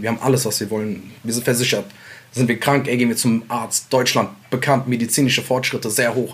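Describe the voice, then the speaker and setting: This is a normal speaking voice at a fairly quick pace. Its intonation stays fairly even. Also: man. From Mainz, Germany (immigrant neighbourhood, Iraqi family). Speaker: rapper. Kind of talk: casual interview.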